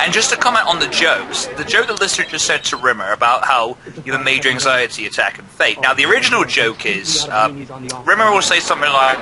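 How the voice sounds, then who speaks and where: Over noticeable background noise, a man talks at a very fast pace. His fairly high voice swings very widely in pitch. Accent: English. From England. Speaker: gaming channel host. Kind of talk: casual commentary over a video.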